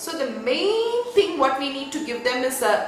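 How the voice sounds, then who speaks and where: Audible room echo and noticeable background noise accompany speech at a fairly slow pace. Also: woman. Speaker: spiritual education teacher. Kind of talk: online talk. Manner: soft-spoken.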